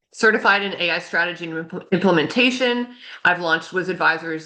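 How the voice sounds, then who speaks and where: Her tone is bright and sharp, with a fairly low pitch and ordinary pitch variation. The woman is heard against a quiet background. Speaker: AI strategy consultant. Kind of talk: webinar presentation. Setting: online webinar. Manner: fast; many filler words.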